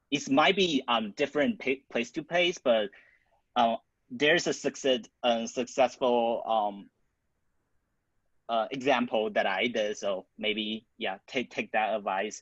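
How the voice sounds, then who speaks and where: At a fairly slow pace and with lively intonation, the voice sounds dry and close with no echo against a quiet background. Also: man. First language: not English. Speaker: student club founder presenting. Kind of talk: Q&A at online club council meeting.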